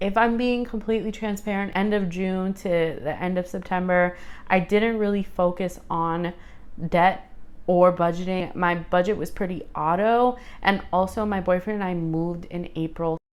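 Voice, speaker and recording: A woman speaks at a moderate pace in an upbeat, animated tone, her pitch medium. The recording is very clean with a silent background. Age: 30s. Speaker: personal finance vlogger. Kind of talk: casual vlog monologue.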